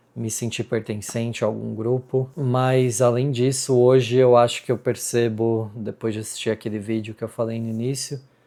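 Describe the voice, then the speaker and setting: Dark, mellow tone in a monotone, flat delivery with hardly any pauses. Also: man, medium pitch for a man, moderate pace. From Brazil. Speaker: vlogger. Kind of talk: casual vlog talk to camera. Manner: hesitant, many fillers.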